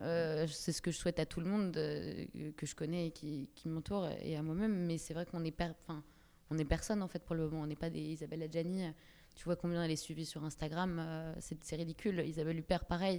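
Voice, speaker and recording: A woman's fairly low voice, dark and mellow in tone, with monotone, flat intonation. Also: fairly quick pace. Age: 20s. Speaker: actress. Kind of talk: casual chat. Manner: halting.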